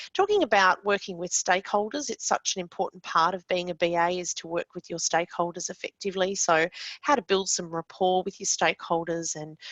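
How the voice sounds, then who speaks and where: This woman speaks at a medium pitch and a fairly quick pace. The sound is dry and close, with no echo. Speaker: course presenter and business analyst. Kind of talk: webinar lecture. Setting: online webinar. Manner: fast; many filler words.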